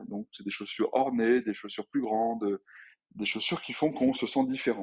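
The man's voice has a medium pitch and ordinary pitch variation. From France, Grenoble. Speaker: entrepreneur, clothing brand founder. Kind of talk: interview. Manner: hesitant, many fillers and repeats.

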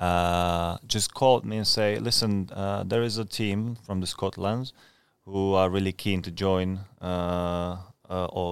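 A man with a Czech accent speaks at a fairly slow pace in a very deep, low voice with fairly even intonation. The recording is very clean, with a silent background. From Czech Republic. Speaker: professional footballer, goalkeeper. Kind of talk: casual interview chat. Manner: halting, hesitant with fillers.

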